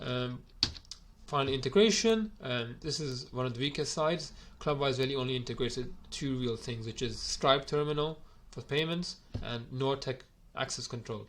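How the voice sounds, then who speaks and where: There's ordinary pitch variation in this man's medium-pitched voice. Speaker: gym owner reviewing software. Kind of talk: software review video. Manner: fast; hesitant, many fillers.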